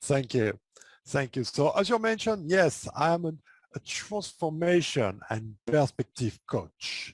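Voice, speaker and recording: With a French accent, a man speaks at a fairly slow pace in a fairly high voice with very wide pitch swings, recorded very cleanly against a silent background with a dry, close sound and no echo. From France. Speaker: transformation coach. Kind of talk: podcast interview.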